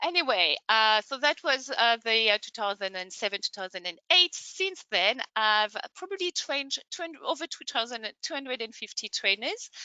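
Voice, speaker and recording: A woman with a high voice speaks at a moderate pace, hardly pausing. Her pitch swings very widely. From France. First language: French. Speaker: online training consultant. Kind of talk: webinar presentation. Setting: online webinar.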